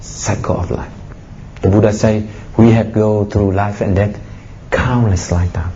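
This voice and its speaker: Amid noticeable background noise and audible room echo, a man speaks in an animated tone at a fairly slow pace. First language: Vietnamese. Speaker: Buddhist monk giving a dharma talk. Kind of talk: dharma talk. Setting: public talk to an audience. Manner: animated, exhorting.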